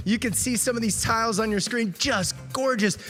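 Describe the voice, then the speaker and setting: This man's voice is high-pitched, raised and projected. His tone is upbeat and energetic, with music playing in the background. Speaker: TV reporter and auctioneer. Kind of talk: charity auction hosting. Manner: upbeat, energetic.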